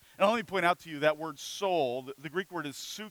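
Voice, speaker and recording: A man's high voice moves with lively intonation at a moderate pace, in a dry, close sound with no echo. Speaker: pastor. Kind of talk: sermon.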